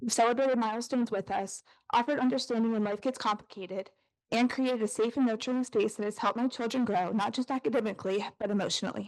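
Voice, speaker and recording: A woman with an American accent speaks very fast in a fairly high pitch, shaky and nervous in tone, with ordinary pitch variation against a quiet background. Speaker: parent giving public comment. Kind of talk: prepared public comment. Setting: school board meeting with audience. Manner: shaky, nervous delivery.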